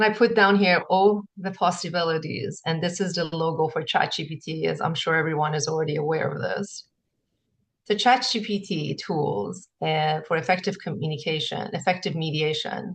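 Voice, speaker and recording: A woman with a non-native accent, fairly low in pitch and somewhat breathy, at a moderate pace. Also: ordinary pitch variation. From grew up in several countries. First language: not English. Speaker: conference presenter. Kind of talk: conference presentation. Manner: halting.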